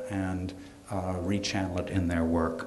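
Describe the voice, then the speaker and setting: At a moderate pace with ordinary pitch variation, the voice carries audible room echo and light background noise. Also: man. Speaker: gallery host introducing speakers. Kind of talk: event introduction. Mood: light, joking. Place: hall. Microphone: podium.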